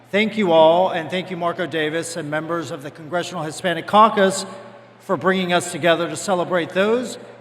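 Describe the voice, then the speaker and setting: The pace is moderate. Noticeable background noise and audible room echo come through. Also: man. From Cuba. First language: Spanish. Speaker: bank executive. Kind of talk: formal speech. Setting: stage with audience.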